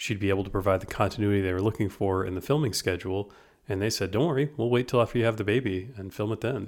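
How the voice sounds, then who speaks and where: On a very clean recording with a silent background, a man speaks in an unremarkable speaking voice. His pitch is fairly low, with ordinary pitch variation. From United States. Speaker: podcast co-host. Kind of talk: casual chat.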